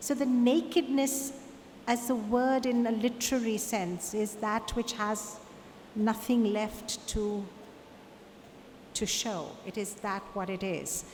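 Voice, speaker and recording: A woman's fairly high voice at a very slow pace, with long, frequent pauses and audible room echo. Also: ordinary pitch variation. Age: 60s. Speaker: artist. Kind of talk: Q&A at a conference talk.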